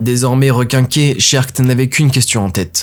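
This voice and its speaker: A man talks at a fairly quick pace while music plays in the background. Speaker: audio fiction narrator. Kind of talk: scripted narration.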